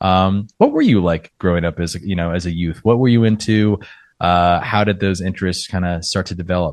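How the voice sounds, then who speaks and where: Over a quiet background, a man with an American accent speaks at a fairly quick pace in a very deep, low voice with fairly even intonation. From Arizona, US. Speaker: podcast host. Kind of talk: interview.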